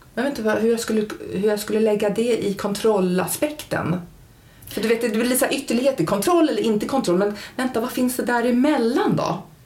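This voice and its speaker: A woman with a fairly high pitch and ordinary pitch variation talks at a moderate pace, with audible room echo and noticeable background noise. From Germany and Stockholm, international upbringing. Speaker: nurse and therapist. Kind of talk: casual chat. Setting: at host's home.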